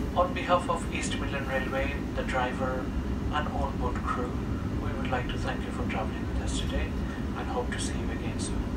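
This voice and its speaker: Loud background noise fills the recording. The speaker keeps a moderate pace. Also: man. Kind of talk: public address announcement. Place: train.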